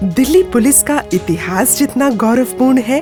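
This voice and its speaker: Music in the background beneath a woman's very widely swinging pitch. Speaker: documentary voice-over narrator. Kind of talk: documentary narration.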